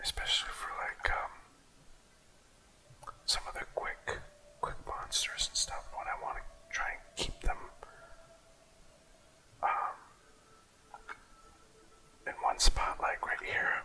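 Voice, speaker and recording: Someone whispers at a very slow pace with long, frequent pauses amid noticeable background noise. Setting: studio. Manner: whispered, soft-spoken.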